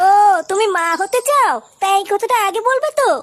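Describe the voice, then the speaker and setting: Putting on a cartoonish character voice, a woman speaks at an extremely high pitch and a fairly quick pace, her intonation lively while her loudness stays very even. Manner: friendly, reassuring.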